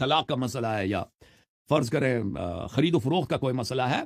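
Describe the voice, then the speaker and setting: Somewhat breathy, this man speaks at a medium pitch. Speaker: Shia religious scholar and YouTuber. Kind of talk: interview answering questions on religion. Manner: harsh, stern tone; stammers on some words.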